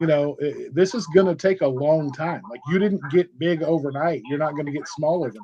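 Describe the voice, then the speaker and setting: This man has an unremarkable speaking voice, fairly high in pitch with ordinary pitch variation. He keeps a moderate pace with hardly any pauses. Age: 40s. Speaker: bariatric community advocate. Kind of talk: casual chat. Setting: podcast.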